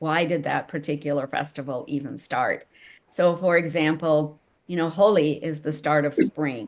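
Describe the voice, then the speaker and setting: In a normal speaking voice, a woman talks at a fairly slow pace with ordinary pitch variation. The background is quiet. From India, moved to US at nine. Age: 60s. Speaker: novelist. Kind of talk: Q&A session answer.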